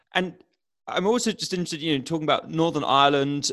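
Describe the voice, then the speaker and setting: Using a normal speaking voice, a man with a fairly high pitch talks with ordinary pitch variation. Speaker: podcast host. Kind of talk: interview. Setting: virtual studio, video call.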